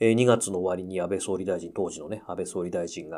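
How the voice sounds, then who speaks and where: A fairly quick man's voice, dark and mellow in tone, on a very clean recording with a silent background. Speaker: pianist and podcast host. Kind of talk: casual radio-style monologue.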